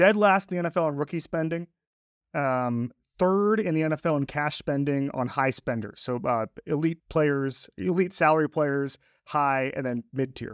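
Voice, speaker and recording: A man speaks in an unremarkable speaking voice, fairly high in pitch with ordinary variation. The sound is dry and close with no echo, over a quiet background. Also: moderate pace. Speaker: sports journalist guest. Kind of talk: casual sports analysis chat.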